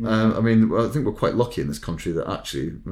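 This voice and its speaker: Swinging his pitch very widely, a man speaks with a Scottish accent. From Scotland. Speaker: recruitment consultant podcast host. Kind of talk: casual chat.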